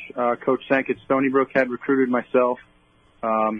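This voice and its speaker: In a Long Island accent, a man talks at a moderate pace and medium pitch, his intonation monotone and flat. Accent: Long Island New York. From Long Island, New York. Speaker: baseball bullpen catcher. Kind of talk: radio interview.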